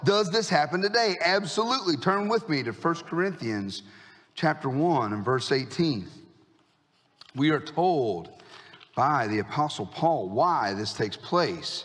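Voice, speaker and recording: In a room with audible echo, a man with a fairly high pitch speaks at a fairly slow pace, his pitch swinging very widely. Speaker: pastor. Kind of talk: sermon. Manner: animated.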